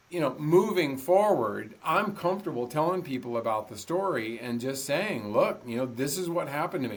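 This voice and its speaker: A man speaks with a fairly high pitch and lively intonation. His pace is moderate, and there is noticeable background noise. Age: 60s. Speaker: ultramarathon runner and motivational speaker. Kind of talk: interview conversation.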